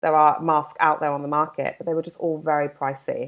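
In a London accent, a woman talks in a fairly low voice on a very clean recording with a silent background. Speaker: skincare brand founder. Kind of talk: casual interview.

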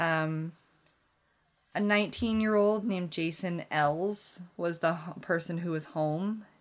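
In a very clean recording with a silent background, a woman with a fairly low pitch uses a normal speaking voice and ordinary pitch variation. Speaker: true crime podcast co-host. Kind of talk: casual chat.

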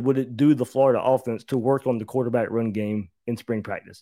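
In an ordinary speaking voice with an American accent, a man talks at medium pitch with ordinary pitch variation on a very clean recording with a silent background. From US South (Georgia). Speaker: college football analyst. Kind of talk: casual sports talk.

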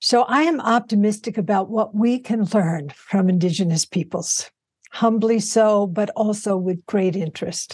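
A somewhat breathy woman with an American accent, medium pitch and ordinary pitch variation, at a moderate pace. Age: 80s+. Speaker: Buddhist teacher. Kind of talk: interview.

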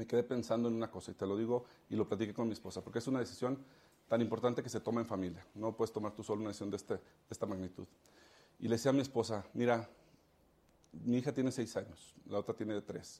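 Speaking at a very fast pace, a man has a dark, mellow tone and medium pitch. His intonation stays fairly even. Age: 30s. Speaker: politician. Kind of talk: interview.

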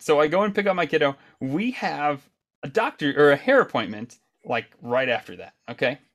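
A man speaks in a normal speaking voice at a moderate pace, fairly high in pitch with lively intonation, on a very clean recording with a silent background. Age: 30s. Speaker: podcast host. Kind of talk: casual chat.

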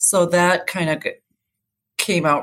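A woman speaks with an American accent. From rural Minnesota, US. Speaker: missing man's sister. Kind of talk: interview.

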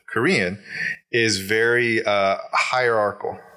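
Noticeable background noise sits behind a man speaking at medium pitch. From Alaska, Kodiak. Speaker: business coach. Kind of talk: casual chat.

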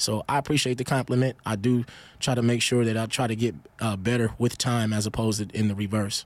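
In a very clean recording with a silent background, a man with an American accent talks at a very fast pace, his medium pitch held at very even loudness and fairly even intonation. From Milwaukee, Wisconsin, US Midwest; youth in South New Jersey. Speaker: rapper. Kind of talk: interview.

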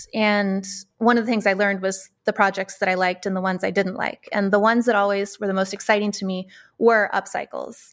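A woman with an American accent speaks in a flat monotone at a medium pitch and a fairly quick pace. The recording is very clean, with a silent background. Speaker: textile artist. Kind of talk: interview. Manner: thoughtful.

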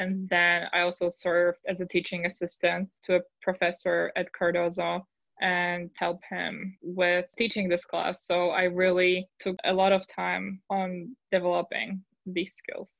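A woman in a Polish accent speaks fairly slowly at a fairly low pitch, her intonation monotone and flat. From Poland. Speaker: lawyer. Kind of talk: interview.

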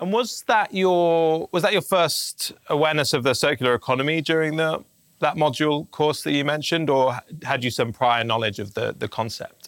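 With an ordinary speaking voice, a man speaks at a moderate pace with a fairly high pitch and lively intonation. The recording is very clean with a silent background, with a dry, close sound and no echo. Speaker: podcast host. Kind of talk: interview.

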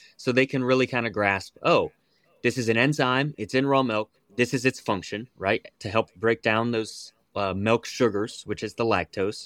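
In a very clean recording with a silent background and a dry, close sound with no echo, a man with an American accent uses an unremarkable speaking voice at a medium pitch and moderate pace. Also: fairly even intonation. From West Virginia. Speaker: raw milk advocate. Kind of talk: interview.

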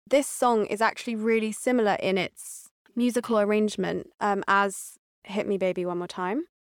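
Fairly even intonation comes in a normal speaking voice. The recording is very clean, with a silent background. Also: woman, medium pitch for a woman, moderate pace. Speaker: personal trainer. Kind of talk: casual chat.

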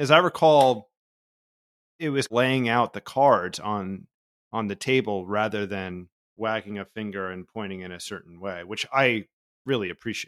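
A man with an American accent has a normal speaking voice, fairly low in pitch with ordinary pitch variation and a moderate pace, though his loudness swings widely. The recording is very clean, with a silent background and a dry, close sound with no echo. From New Jersey, US. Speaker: podcast host. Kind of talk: scripted narration; interview conversation.

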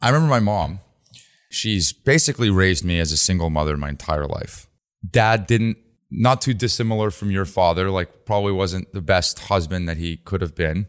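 Very deep and low, a man's voice carries lively intonation at a moderate pace. The recording is very clean, with a silent background. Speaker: podcast host and venture investor. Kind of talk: interview. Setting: in-person interview on location at a resort.

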